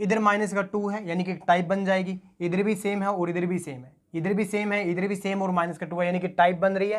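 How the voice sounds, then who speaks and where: A man with a high pitch, speaking at a fairly quick pace with fairly even intonation. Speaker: math teacher. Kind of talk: lecture.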